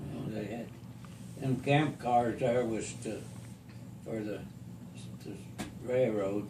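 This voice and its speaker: A man speaks at a very slow pace with long, frequent pauses, his medium-pitched voice dark and mellow in tone, somewhat breathy, fairly even in intonation, and marked by big swings in loudness. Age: 80s+. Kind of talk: interview answer.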